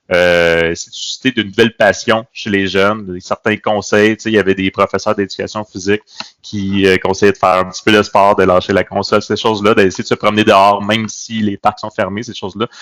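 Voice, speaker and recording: A man talks at a fairly quick pace in a flat monotone. The sound is dry and close, with no echo. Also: fairly low pitch for a man. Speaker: teacher, podcast co-host. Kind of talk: casual chat. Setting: video call.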